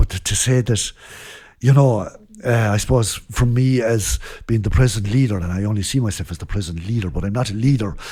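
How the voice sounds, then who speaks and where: Speaking in a western Irish accent, a man has a fairly low, somewhat breathy voice with a dark, mellow tone and ordinary pitch variation. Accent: Irish, west Clare. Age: 60s. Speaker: traditional band leader. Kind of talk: casual interview chat. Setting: recorded at a guesthouse during a music festival.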